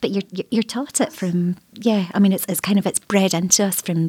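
A woman with a Scottish accent talks at a fairly quick pace with fairly even intonation. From Scotland. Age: 40s. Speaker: writer. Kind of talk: roundtable discussion.

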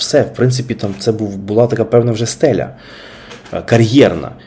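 A man talks very fast at a medium pitch, varying it in an ordinary way, while noticeable background noise carries on behind him. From Kyiv, Ukraine. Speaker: podcast host. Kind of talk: casual monologue.

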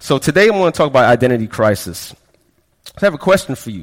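The voice carries an American accent. Its pitch swings very widely. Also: man. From Florida, raised from childhood; early years in Brooklyn, West Indian parents. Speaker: pastor. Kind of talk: sermon.

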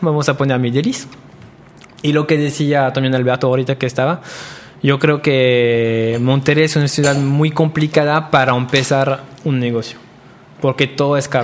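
With a French accent, a man speaks at a moderate pace in a fairly high pitch and fairly even intonation, over noticeable background noise. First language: French (speaking Spanish). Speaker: pastry chef. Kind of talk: interview.

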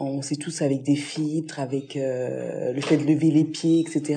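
A woman speaks very slowly in a very deep, low pitch, with a dark, mellow tone and monotone, flat intonation. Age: 30s. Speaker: pediatric nurse. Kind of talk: interview.

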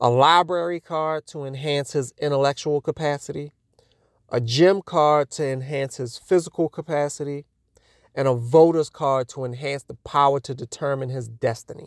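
A man with an American accent speaks in a normal speaking voice at a moderate pace, his pitch fairly high and his intonation fairly even, with big swings in loudness on a dry, close, echo-free, very clean recording over a silent background. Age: 30s. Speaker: interviewee sharing personal perspective. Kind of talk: prepared personal statement.

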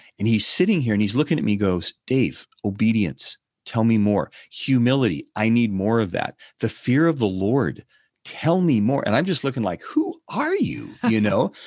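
An ordinary speaking voice from a man with an American accent, medium pitch, lively intonation and very even loudness, moderate pace, quiet background. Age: 60s. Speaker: ministry founder and author. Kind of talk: interview.

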